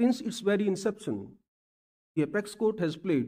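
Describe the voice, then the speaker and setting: A man delivers his words fairly quickly. Nothing much stirs in the quiet background. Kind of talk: formal speech. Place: hall. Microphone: podium.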